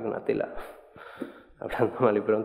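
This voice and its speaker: A man talks at a moderate speed, and noticeable background noise can be heard. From Seville, Andalusia, Spain. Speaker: doctoral researcher. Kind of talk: conference talk. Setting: stage with audience. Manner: halting, many repetitions.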